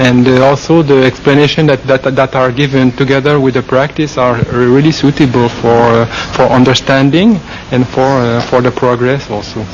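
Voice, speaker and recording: With noticeable background noise behind him, a man speaks in a French Canadian accent with monotone, flat intonation. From Quebec, French-speaking Canada. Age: 40s. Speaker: Buddhist monk. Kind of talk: interview. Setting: forest meditation monastery. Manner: halting, many fillers.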